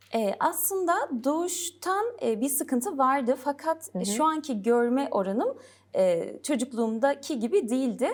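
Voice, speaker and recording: A woman with a high voice talks fairly slowly, her pitch swinging very widely while her loudness stays very even, in a very clean recording with a silent background. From Gaziantep, southeastern Turkey. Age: 30s. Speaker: English teacher. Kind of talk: interview.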